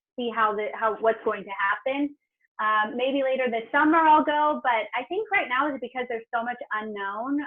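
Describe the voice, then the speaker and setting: Over music in the background, a woman with an American accent speaks at a moderate pace in a fairly high pitch with ordinary pitch variation. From Southern California, San Diego County. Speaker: TV travel host and producer. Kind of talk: interview.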